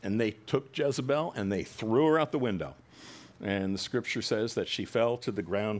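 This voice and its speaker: A man talks at a moderate pace with lively intonation and a fairly low pitch. He has a plain, everyday voice. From New Jersey. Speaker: pastor. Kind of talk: sermon.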